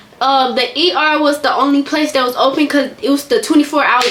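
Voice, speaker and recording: A woman with a high-pitched, raised and projected voice speaks over noticeable background noise. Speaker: vlogger. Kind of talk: storytime. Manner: halting.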